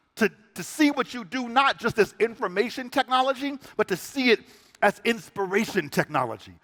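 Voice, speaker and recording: A raised, projected voice, bright and sharp in tone, with lively intonation and a dry, close sound with no echo. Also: man. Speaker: spoken word poet and inspirational speaker. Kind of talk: spoken word poetry keynote to a live audience. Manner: dynamic.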